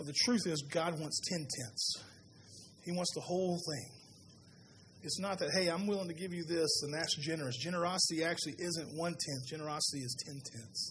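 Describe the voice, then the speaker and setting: A man with a Southern US accent talks at a fairly quick pace in a high pitch. His pitch varies in an ordinary way, and there is audible room echo. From US South. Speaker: pastor. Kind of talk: sermon.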